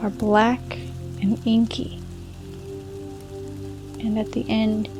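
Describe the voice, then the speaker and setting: Music plays in the background as a woman speaks at a very slow pace in a calm, soothing tone. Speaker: fantasy meditation narrator. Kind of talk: guided fantasy meditation / bedtime story narration. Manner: calm, slow, soothing.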